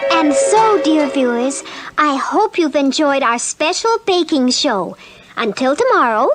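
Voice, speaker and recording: A female-sounding cartoonish character voice speaks at a high pitch and a fairly slow pace. Faint music plays in the background. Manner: sweet, polite.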